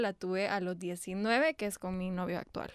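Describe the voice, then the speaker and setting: A woman's normal speaking voice, fairly slow, with ordinary pitch variation. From El Salvador (born in Texas, raised from age 5). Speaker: youtuber. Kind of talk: interview.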